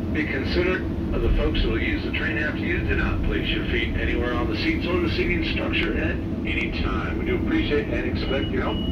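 A man talking at a fairly quick pace with hardly any pauses over loud background noise. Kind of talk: public address announcement. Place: train.

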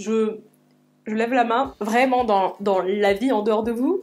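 At a very slow pace, a woman speaks with fairly even intonation and a fairly high pitch. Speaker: social sciences student. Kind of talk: casual talk to camera. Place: home room.

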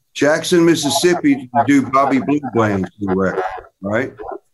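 The speaker is a man with a medium pitch and an American accent. Background noise is noticeable. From US South, Tennessee. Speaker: session and touring guitarist. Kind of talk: interview. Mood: relaxed, reminiscing. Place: home room. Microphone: video call.

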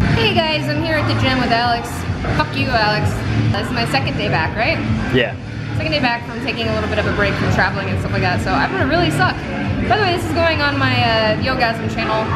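Loud music plays in the background as a woman talks at a very fast pace. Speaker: vlogger. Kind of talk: casual vlog chat. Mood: playful, joking. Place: gym. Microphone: phone near.

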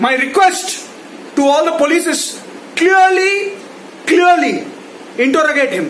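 Loud and in an Indian accent, the speaker goes at a fairly slow pace with long, frequent pauses and ordinary pitch variation, over light background noise and audible room echo. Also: man, extremely high pitch for a man. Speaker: YouTube ranter. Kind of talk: angry rant. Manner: loud, indignant, accusatory; repetitive, sarcastic, emphatic. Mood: angry, mocking. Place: home room. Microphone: phone near.

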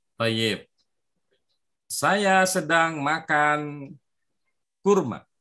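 Against a quiet background, a man with a fairly high, bright, sharp voice speaks very slowly, taking long, frequent pauses, with ordinary pitch variation. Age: 30s. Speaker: Arabic teacher for children. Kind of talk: online language lesson. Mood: encouraging, praising. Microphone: video call.

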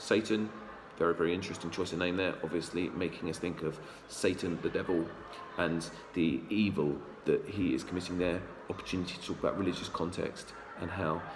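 A man speaks with a very deep, low pitch at a fairly quick pace. Noticeable background noise sits behind him. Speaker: English teacher. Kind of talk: lecture. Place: classroom. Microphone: webcam.

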